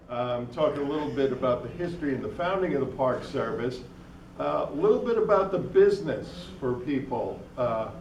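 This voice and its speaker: A man's lively intonation and moderate pace come through noticeable background noise, with audible room echo around his voice. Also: fairly high pitch for a man. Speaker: state park manager and guest speaker. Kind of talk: lecture. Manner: loud.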